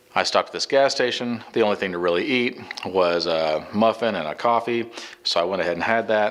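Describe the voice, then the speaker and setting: Amid noticeable background noise, a medium-pitched man talks fairly quickly, his pitch varying in an ordinary way. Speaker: vlogger. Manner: fast.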